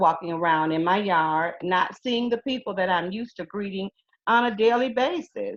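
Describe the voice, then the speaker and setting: A woman with an American accent talks at a moderate pace, her medium-pitched voice carrying lively intonation. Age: 60s. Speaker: retired teacher. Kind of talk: interview. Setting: video call.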